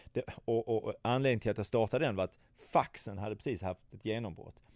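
Dark and mellow in tone, a man's fairly low voice moves with lively intonation, recorded dry and close with no echo on a very clean track with a silent background. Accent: Scanian. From southern Sweden, Skåne. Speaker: travel industry entrepreneur. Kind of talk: interview. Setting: office meeting room. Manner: halting, many fillers and repetitions.

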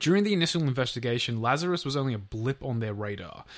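In an Australian accent, a man speaks at a medium pitch. His delivery is fairly quick with lively intonation. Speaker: podcast co-host. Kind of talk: true crime storytelling.

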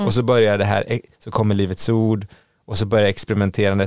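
A man's fairly low voice, dry and close with no echo. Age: 40s. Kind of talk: casual chat.

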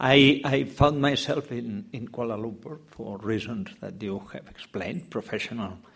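A man with a Catalan accent speaks at a medium pitch and a moderate pace, with hardly any pauses. His loudness swings widely while his pitch variation stays ordinary. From Catalonia, Spain. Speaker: novelist. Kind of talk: panel discussion. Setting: bookshop event with audience.

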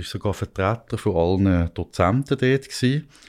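On a very clean recording with a silent background, the speech unfolds at a fairly slow pace. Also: man. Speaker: investigative journalist. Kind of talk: conversational storytelling. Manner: hesitant with fillers.

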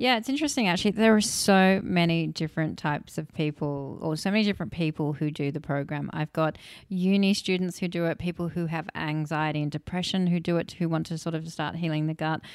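In a very clean recording with a silent background, a woman with an Australian accent speaks at a fairly low pitch and a fairly quick pace, with hardly any pauses and ordinary pitch variation. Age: 50s. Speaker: nutritionist and cookbook author. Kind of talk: interview.

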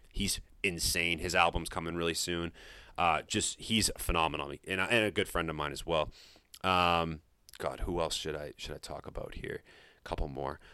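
In an American accent, a man with a very deep, low pitch speaks at a moderate pace in a bright, sharp tone. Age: 20s. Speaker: high school teacher, basketball coach and music podcaster. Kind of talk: casual chat. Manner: animated.

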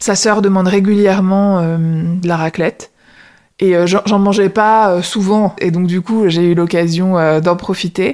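A woman speaks at a medium pitch and a very slow pace. Her intonation is monotone and flat, her loudness very even. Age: 30s. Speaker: lawyer retraining in HR. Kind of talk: casual interview conversation.

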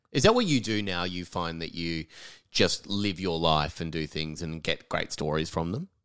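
In an Australian accent, a man speaks at a very deep, low pitch and a moderate pace. His pitch varies in an ordinary way, and the recording is very clean with a silent background. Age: 30s. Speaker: comedian and podcast host. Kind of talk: interview.

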